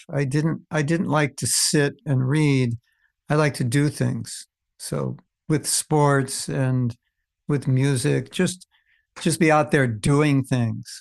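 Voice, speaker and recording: A man talks at a very slow pace with long, frequent pauses and ordinary pitch variation. The background is quiet. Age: 70s. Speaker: spiritual teacher. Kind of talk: interview. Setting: video call. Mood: calm, reflective. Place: home room. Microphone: studio mic.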